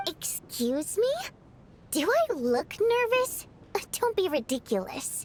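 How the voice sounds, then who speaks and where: In a put-on character voice, a woman speaks at an extremely high pitch and a fairly slow pace, with very wide pitch swings and long, frequent pauses. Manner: defensive, indignant.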